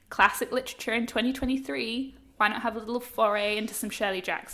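Speaking at a very fast pace, a woman with an Australian accent uses a fairly high voice and fairly even intonation. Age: 30s. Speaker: journalist and podcast co-host. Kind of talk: casual chat. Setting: remote call.

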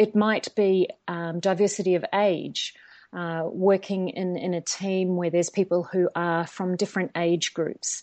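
A woman speaks at medium pitch. Her intonation stays fairly even. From New Zealand. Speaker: organizational psychologist. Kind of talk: interview.

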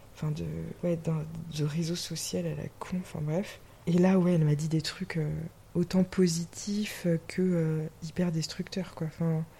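Her voice is fairly low-pitched for a woman, with a dark, mellow tone and some breathiness. She talks at a fairly slow pace in a monotone, flat intonation. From western France. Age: 20s. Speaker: podcast guest. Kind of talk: casual chat. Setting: indoors, drinking champagne.

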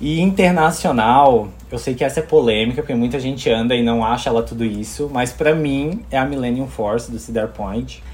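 At a moderate pace and medium pitch, a man with a normal speaking voice talks with ordinary pitch variation and hardly any pauses. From Brazil. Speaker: architect, theme park fan. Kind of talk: casual chat.

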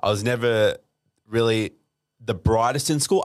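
On a very clean recording with a silent background, a man with an Australian accent talks at a moderate pace and medium pitch, with ordinary pitch variation. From Australia, Melbourne suburbs. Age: 20s. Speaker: DJ and entrepreneur. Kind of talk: casual interview chat.

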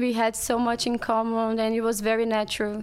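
A woman speaks at a moderate pace with a Brazilian Portuguese accent. Her pitch is fairly high. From Brazil, Rio de Janeiro. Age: 20s. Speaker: podcast guest. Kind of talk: casual chat.

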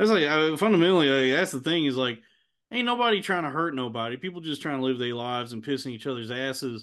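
A man with a Texan accent, fairly high-pitched, his intonation lively and his pace very fast. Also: quiet background. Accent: Texan American. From Texas. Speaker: podcast host. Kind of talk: casual chat.

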